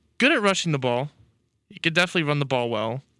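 A man speaks in a deadpan tone that is also bright and sharp. The sound is dry and close, with no echo. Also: very clean recording, silent background. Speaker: college radio sports co-host. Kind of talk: casual chat. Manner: deadpan, joking.

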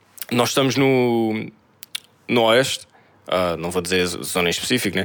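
In a European Portuguese accent, a man speaks at a moderate pace with lively intonation. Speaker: podcast co-host. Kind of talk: casual chat.

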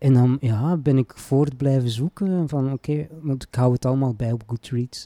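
At a moderate pace and medium pitch, a man speaks with hardly any pauses, ordinary pitch variation and a dark, mellow tone, in a dry, close sound with no echo on a very clean recording with a silent background. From Flanders, Belgium (Antwerp province). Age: 40s. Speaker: poet and writing teacher. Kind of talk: casual interview.

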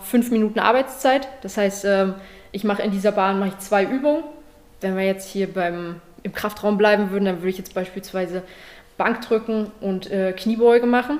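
A woman talks at a moderate pace with a medium pitch and ordinary pitch variation. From Saxony, Germany (Leipzig). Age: 20s. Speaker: judo athlete. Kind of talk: interview.

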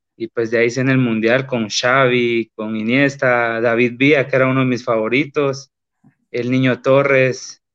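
Speaking at a fairly slow pace, a man keeps a medium pitch with monotone, flat intonation. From Guatemala, Boca del Monte. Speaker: professional footballer. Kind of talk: interview.

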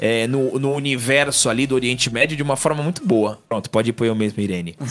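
There is music in the background. Over it, a man of medium pitch speaks with ordinary pitch variation. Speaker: podcast co-host. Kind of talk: casual chat.

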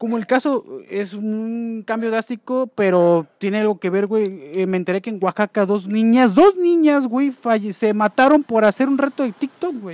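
Lively in intonation and high in pitch, a man speaks at a moderate pace with hardly any pauses, the sound dry and close with no echo. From Mexico. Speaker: podcast host. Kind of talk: casual chat. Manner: animated.

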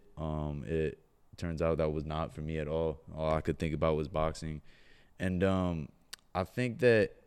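The speaker has a Californian accent. The recording is very clean, with a silent background. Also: man. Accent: Californian American. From Southern California, Orange County. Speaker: professional boxer. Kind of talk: casual chat.

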